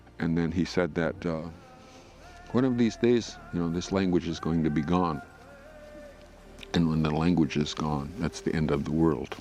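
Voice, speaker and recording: This man has a very deep, low pitch and an American accent. He leaves long, frequent pauses over noticeable background noise. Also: ordinary pitch variation, moderate pace. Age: old. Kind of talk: interview testimony. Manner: halting, many fillers.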